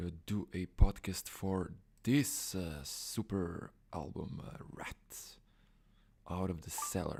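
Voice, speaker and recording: Whispering with a non-native accent, a man speaks at a very slow pace. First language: Croatian or Serbian. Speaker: music blogger and YouTuber. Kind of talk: casual live stream talk. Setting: live stream. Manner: halting.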